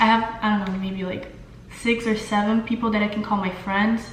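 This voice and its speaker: Heard through noticeable background noise and audible room echo, a woman speaks with a Brazilian Portuguese accent. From Brazil, São Paulo. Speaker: beauty vlogger. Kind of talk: casual makeup tutorial and Q&A. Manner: hesitant, many fillers.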